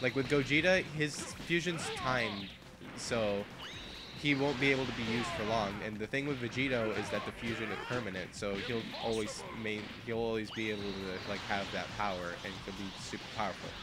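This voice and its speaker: A man speaks at a moderate pace with a medium pitch and ordinary pitch variation over noticeable background noise. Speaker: gaming commentator. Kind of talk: casual live game commentary.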